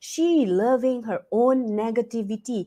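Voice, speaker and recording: A woman speaks with a Cantonese accent and a dark, mellow tone. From Malaysia. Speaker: talk show host. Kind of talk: live online talk show. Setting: live stream broadcast. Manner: frequent filler words and repetitions.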